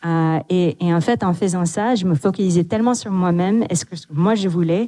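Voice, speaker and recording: This speaker has a non-native accent and a dark, mellow tone. The sound is dry and close, with no echo. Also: woman. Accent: noticeable foreign accent in French. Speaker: tech executive. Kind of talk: panel discussion.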